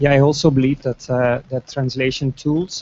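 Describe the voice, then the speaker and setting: Over noticeable background noise, a man with a Dutch accent speaks at medium pitch with fairly even intonation. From Netherlands. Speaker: translation student. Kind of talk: panel discussion. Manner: halting.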